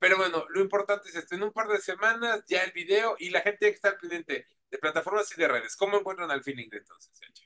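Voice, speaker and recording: Very fast and in a raised, projected voice, a man with a Mexican accent speaks at a high pitch in a bright, sharp tone, with ordinary pitch variation and big swings in loudness. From Mexico. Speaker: radio host and interviewer; radio host, interviewer. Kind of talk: casual interview. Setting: remote video call.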